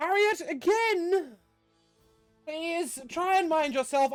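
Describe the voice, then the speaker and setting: Faint music plays behind a female-sounding put-on character voice that speaks at a very slow pace with an extremely high pitch. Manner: reprimanding, haughty.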